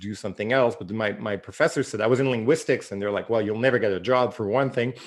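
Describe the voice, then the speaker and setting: With a Quebec French accent, a man speaks at medium pitch with ordinary pitch variation against a quiet background. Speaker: novelist. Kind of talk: interview. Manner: halting, many repeats.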